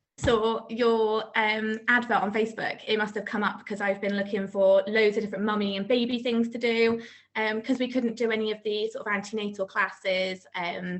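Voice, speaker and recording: A woman with a West Country accent talks at a moderate pace with hardly any pauses, in a fairly high pitch and flat monotone. Noticeable background noise is heard. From South Gloucestershire, England. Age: 20s. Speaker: new mum, maths teacher. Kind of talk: interview.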